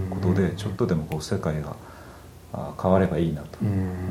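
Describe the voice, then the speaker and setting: A man with a very deep, low pitch and a dark, mellow, somewhat breathy tone speaks with ordinary pitch variation amid audible room echo. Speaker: craftsman and product maker. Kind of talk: casual chat.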